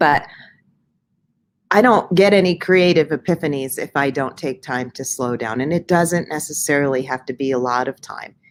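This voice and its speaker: A woman's very deep, low voice with ordinary pitch variation at a moderate pace. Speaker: spiritual wellness coach. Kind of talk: casual inspirational talk.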